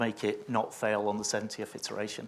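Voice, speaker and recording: A man with a Yorkshire accent, fairly low in pitch, with monotone, flat intonation at a moderate pace on a very clean recording with a silent background. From northern England, Sheffield. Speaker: test automation consultant. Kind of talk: conference panel discussion. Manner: hesitant, many fillers.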